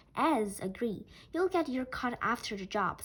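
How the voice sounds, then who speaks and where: A woman puts on a growling character voice, high in pitch with very wide swings, at a moderate pace. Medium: read story. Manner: menacing, rough.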